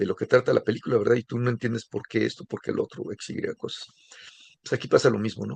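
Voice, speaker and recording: A man's voice is captured with a dry, close sound and no echo. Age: 60s. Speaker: course instructor. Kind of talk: lecture. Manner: casual, conversational.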